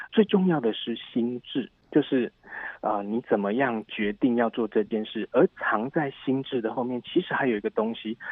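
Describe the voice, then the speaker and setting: With a plain, everyday voice, a man speaks at a moderate pace and medium pitch, with ordinary pitch variation. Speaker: English teacher. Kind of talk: interview.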